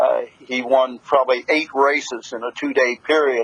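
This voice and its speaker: The speech moves at a moderate pace while noticeable background noise continues underneath. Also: man. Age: 70s. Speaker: harness racing announcer. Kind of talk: interview answer. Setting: phone line.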